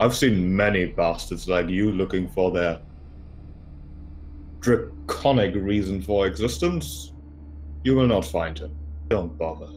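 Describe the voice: Using a guttural put-on character voice with a very deep, low pitch, a man speaks at a fairly slow pace with long, frequent pauses over clear background noise.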